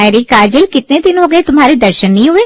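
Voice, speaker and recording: A woman puts on a character voice, high and very fast. Her loudness stays very even while her pitch swings very widely. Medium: read story. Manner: nosy, chatty.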